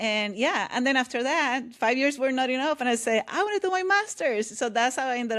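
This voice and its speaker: A woman talking at a very fast pace in a Puerto Rican accent. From Puerto Rico. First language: Spanish. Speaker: author and leadership coach. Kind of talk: interview conversation. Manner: loud, energetic.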